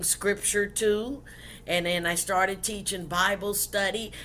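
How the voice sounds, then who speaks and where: Speaking at a very slow pace with fairly even intonation, a woman is heard with audible room echo. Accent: Southern US. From US South, South Carolina. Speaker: pastor and author. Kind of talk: interview.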